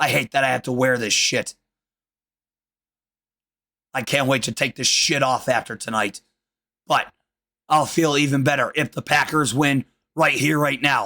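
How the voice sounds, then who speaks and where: Using a raspy, put-on character voice pitched fairly high, a man speaks at a moderate pace with long, frequent pauses. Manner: irritated, grumbling.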